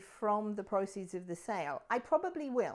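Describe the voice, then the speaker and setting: A woman speaks with a British accent. Her pitch swings very widely. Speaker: realtor. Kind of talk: explainer video. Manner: conversational.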